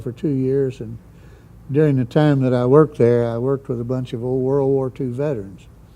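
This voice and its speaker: Speaking with a southeastern Missouri accent, a man delivers his words at a fairly quick pace in a medium-pitched, monotone voice with a dark, mellow tone. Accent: southern Midwestern US (Missouri Bootheel). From southeast Missouri. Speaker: Vietnam veteran helicopter pilot. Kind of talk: oral history interview. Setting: museum. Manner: hesitant, many fillers.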